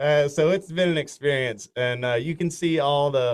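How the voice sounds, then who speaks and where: Intonation rises and falls in a lively way. The accent is Southern US. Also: man. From north Florida. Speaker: country singer. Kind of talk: casual interview. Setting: studio.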